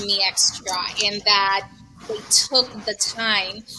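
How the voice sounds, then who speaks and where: Noticeable background noise is audible. A woman talks through it. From Latin America, moved to New York City at 13. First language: Spanish. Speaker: breast cancer survivor, community ambassador. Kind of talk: casual podcast conversation.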